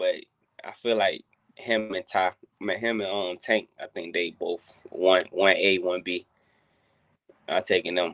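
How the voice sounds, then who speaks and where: The man talks in an American accent. He goes at a fairly slow pace. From North Carolina. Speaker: boxer. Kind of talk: casual chat.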